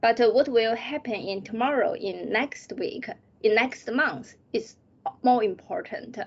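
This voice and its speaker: In a Chinese accent, a woman speaks at a high pitch with lively intonation. Her pace is fairly slow. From China. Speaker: PhD student. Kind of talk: interview. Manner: halting.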